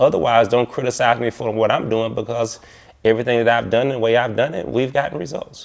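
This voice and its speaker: Fairly even in intonation, a man's speech races along at a very fast pace. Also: medium pitch for a man. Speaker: community activist. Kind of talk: documentary interview. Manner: loud.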